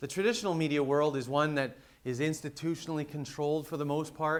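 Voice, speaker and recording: With a western Canadian accent, a man speaks at a very fast pace. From western Canada. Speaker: conference speaker, reputation management business. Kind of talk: conference presentation. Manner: frequent fillers and repetitions.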